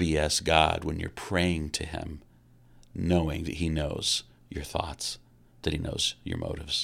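On a very clean recording with a silent background, a man with an American accent talks at a fairly slow pace in a very deep, low voice with monotone, flat intonation. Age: 50s. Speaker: pastor. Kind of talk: solo podcast talk. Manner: halting, many repetitions.

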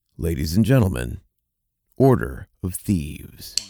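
In a booming, put-on character voice, a man speaks at a very deep, low pitch with very wide pitch swings at a moderate pace.

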